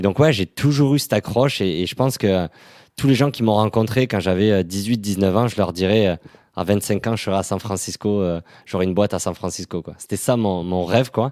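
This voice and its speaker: On a very clean recording with a silent background and a dry, close sound with no echo, a man with an unremarkable speaking voice talks at a fairly quick pace and fairly low pitch, with ordinary pitch variation and big swings in loudness. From southern France, Toulouse. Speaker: startup employee. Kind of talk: podcast interview testimony. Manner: casual, many fillers.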